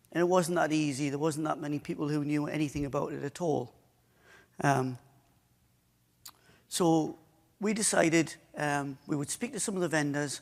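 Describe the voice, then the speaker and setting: Long, frequent pauses at a moderate pace, with a strong northeast English accent and ordinary pitch variation. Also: man, fairly high pitch for a man. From northeast England. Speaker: IT service provider. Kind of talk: conference talk. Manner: halting.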